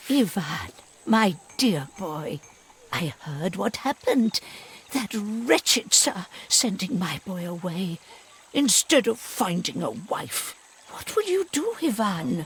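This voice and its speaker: A put-on character voice, fairly high in pitch and fairly slow, with very wide pitch swings and long, frequent pauses. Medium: video game. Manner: warm, motherly.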